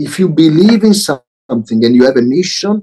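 A man with an Italian accent, dark and mellow in tone, with very wide pitch swings. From Italy, Milan. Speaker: social enterprise CEO. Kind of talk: interview.

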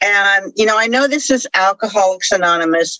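A woman speaks in an ordinary speaking voice at medium pitch. Her intonation is lively. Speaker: AA meeting speaker. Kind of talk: testimony. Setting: recovery meeting.

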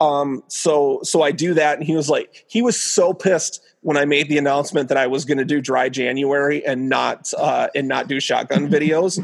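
Here is a normal speaking voice with an American accent and ordinary pitch variation. The pace is moderate, with hardly any pauses. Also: man, fairly high pitch for a man. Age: 40s. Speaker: stand-up comedian. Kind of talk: casual chat.

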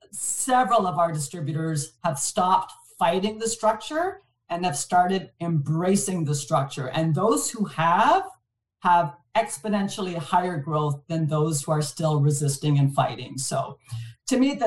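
Intonation is lively and the tone somewhat breathy. The pace stays moderate. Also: woman. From Montreal, Canada. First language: French. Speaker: distribution executive. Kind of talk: casual interview.

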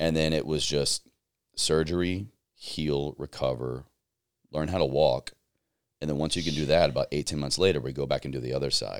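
A man with an American accent has a very deep, low pitch and vocal fry. He talks at a fairly quick pace with long, frequent pauses and fairly even intonation. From US South, Southwest Virginia. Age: 30s. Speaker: podcast host and army veteran. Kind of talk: casual interview.

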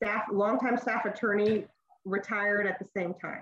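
A woman's normal speaking voice with an American accent, medium in pitch, at a moderate pace. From Texas, El Paso. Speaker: state supreme court judge. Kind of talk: interview answers.

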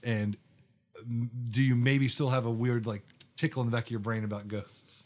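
Sounding animated, a man at medium pitch talks at a fairly quick pace. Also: very clean recording, silent background. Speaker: podcast co-host. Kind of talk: casual chat about scripture. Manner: animated, jokey.

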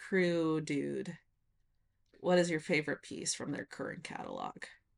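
With an American accent and a normal speaking voice, this woman talks at a fairly low pitch, with ordinary pitch variation and big swings in loudness. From rural Nevada, US. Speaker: podcast co-host. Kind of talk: casual chat.

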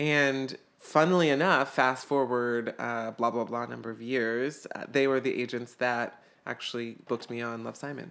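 A man with an ordinary speaking voice keeps a fairly even intonation, a medium pitch and a moderate pace. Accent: American. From US South, Atlanta, Georgia. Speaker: actor. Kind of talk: casual chat.

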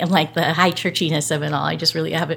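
A woman speaks with a fairly low pitch. Vocal fry runs through her voice. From Southern California. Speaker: pastor. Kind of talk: interview.

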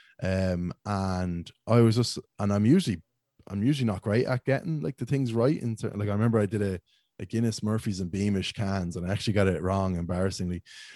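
With a Dublin accent, a man speaks at a fairly quick pace in a dark, mellow tone, his pitch fairly low with ordinary variation. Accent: Dublin-sounding Irish. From Ireland, County Meath (Ashbourne, near Dublin). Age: 20s. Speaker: beer reviewer and social media creator. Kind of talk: casual chat.

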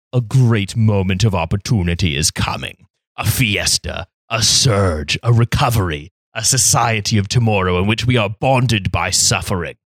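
In a put-on character voice, a man speaks at a fairly low pitch with ordinary pitch variation, and the sound is dry and close with no echo. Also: moderate pace. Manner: grandiose.

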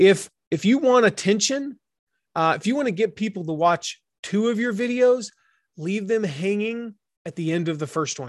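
Someone speaks in an animated tone at a moderate pace with an American accent against a quiet background. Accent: slight Southern, stronger around family. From US South. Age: 40s. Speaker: author and business coach. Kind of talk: interview.

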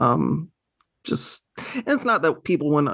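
A voice with an American accent against a quiet background. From US South. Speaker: podcast host. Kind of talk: casual interview chat. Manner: hesitant, many fillers.

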